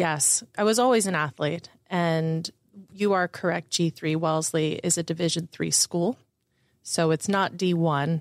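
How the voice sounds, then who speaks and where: An ordinary speaking voice, a woman's, fairly low in pitch with ordinary pitch variation, comes at a fairly slow pace with very even loudness in a dry, close sound with no echo. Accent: American. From Florida, Orlando area. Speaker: investor relations and marketing director. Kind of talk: interview.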